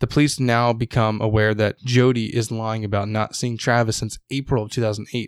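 The speech runs with hardly any pauses in a monotone, flat intonation. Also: man, medium pitch for a man. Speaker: podcast host. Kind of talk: casual chat. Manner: casual, joking.

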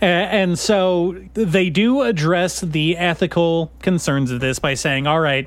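Here is a man with an unremarkable speaking voice. His pitch is fairly high and varies in an ordinary way. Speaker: podcast host. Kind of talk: casual comedic banter. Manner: joking, laughs often.

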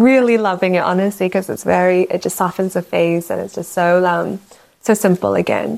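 A woman with a New Zealand accent at a medium pitch, a moderate pace and fairly even intonation. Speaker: fragrance brand founder. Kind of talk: casual interview.

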